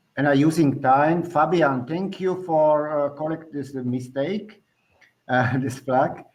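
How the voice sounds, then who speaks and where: The delivery is very slow, with a Slovak accent. Intonation stays fairly even. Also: man, fairly high pitch for a man. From Slovakia. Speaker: government cycling officer. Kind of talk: presentation. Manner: halting.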